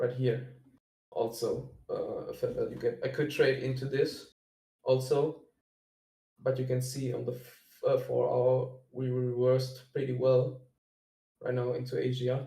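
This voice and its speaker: A man speaks with a German accent, leaving long, frequent pauses. The room echo is audible. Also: fairly slow pace. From Germany. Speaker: day trader sharing analysis. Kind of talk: screen-share trading walkthrough. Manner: halting, many fillers.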